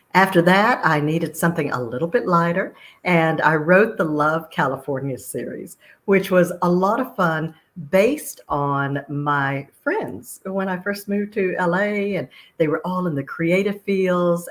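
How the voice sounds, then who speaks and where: With a slight Texas accent, the speaker moves at a fairly slow pace with ordinary pitch variation. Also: woman, fairly low pitch for a woman. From Texas, Austin. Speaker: author. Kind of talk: interview.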